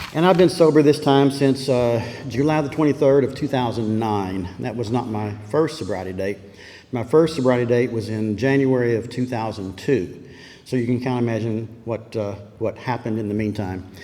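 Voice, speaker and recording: A man with an American accent and ordinary pitch variation, over noticeable background noise. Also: medium pitch for a man, moderate pace. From Texas, Dallas. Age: 70s. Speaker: recovering alcoholic speaker. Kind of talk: recovery meeting testimony. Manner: halting.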